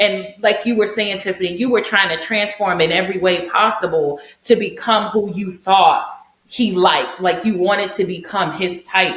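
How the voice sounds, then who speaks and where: A woman of medium pitch amid noticeable background noise and audible room echo. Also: moderate pace. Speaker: podcast co-host. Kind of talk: casual chat. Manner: loud; animated.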